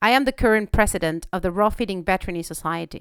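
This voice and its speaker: On a very clean recording with a silent background, a woman speaks with a Spanish accent at a very fast pace. Her medium-pitched voice has lively intonation. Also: dry, close sound with no echo. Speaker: veterinarian podcaster. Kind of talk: podcast monologue. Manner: hesitant, with fillers.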